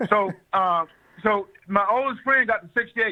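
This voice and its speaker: A man is speaking here at a moderate pace. His pitch variation is ordinary. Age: 70s. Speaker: health and wellness doctor. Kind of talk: radio interview. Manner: repetitive, stammering restarts.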